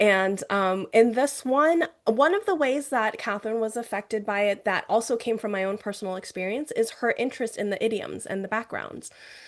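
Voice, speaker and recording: A woman with a plain, everyday voice speaks at a fairly quick pace, hardly pausing, with a fairly high pitch and ordinary pitch variation. The background is quiet. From US, raised in Mandarin-speaking home. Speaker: novelist. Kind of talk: author interview.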